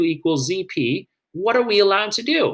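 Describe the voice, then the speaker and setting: With a bright, sharp tone and a high pitch, a man talks at a moderate pace. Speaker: math teacher. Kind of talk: lecture. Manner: animated.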